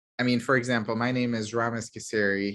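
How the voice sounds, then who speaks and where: Against a quiet background, a man with a slight Middle Eastern accent talks at a fairly low pitch in a monotone, flat delivery. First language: Arabic. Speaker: pediatrician. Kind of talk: Q&A talk.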